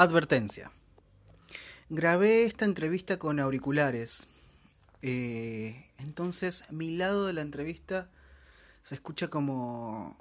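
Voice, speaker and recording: Captured in a very clean recording with a silent background, a man with a Rioplatense accent and a fairly high voice speaks at a very slow pace, with lively intonation and long, frequent pauses. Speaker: podcast host and yoga teacher. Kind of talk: podcast intro narration.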